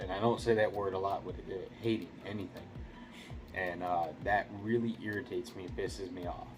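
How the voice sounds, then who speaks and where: A quiet, fairly low-pitched male voice over background music. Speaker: gaming YouTuber. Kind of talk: casual video review monologue. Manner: keeping voice down, quiet; rambling with fillers and repeats.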